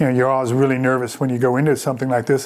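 At a medium pitch, a man speaks with a Chicago-area accent. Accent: Chicago-area Midwestern American. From US Midwest, Chicago suburbs; Illinois. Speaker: vineyard owner and winemaker. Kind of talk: reflective oral-history life story, looking back on the vineyard years. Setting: on location at the vineyard. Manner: warm and contented. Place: home room.

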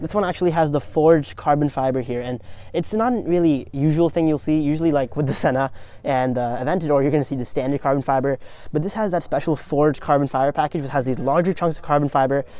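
The speech comes at a very fast pace. The sound is dry, with no echo. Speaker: car vlogger. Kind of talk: casual vlog commentary. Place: garage. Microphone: lapel.

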